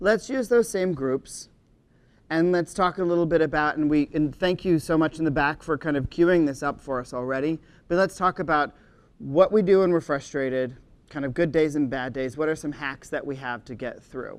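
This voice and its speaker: Speaking with an American accent against a quiet background, a man uses a fairly high pitch, ordinary pitch variation and a moderate pace. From Maryland, outside Washington DC. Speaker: conference session moderator. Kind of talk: conference workshop discussion. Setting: stage with audience. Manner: animated.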